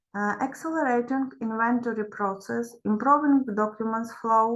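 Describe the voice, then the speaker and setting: Speaking at a fairly slow pace with a Ukrainian accent, a woman uses a high pitch with ordinary pitch variation. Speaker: professor. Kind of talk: conference presentation.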